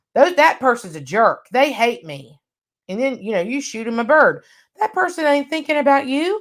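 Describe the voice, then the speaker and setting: At a moderate pace, this voice shows big swings in loudness and very wide pitch swings. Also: woman, high pitch for a woman. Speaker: workshop trainer. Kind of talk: online workshop lecture.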